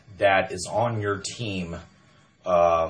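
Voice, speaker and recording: Audible room echo follows a man's voice as he talks. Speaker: MLM recruiter. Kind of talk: sales pitch. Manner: loud; animated.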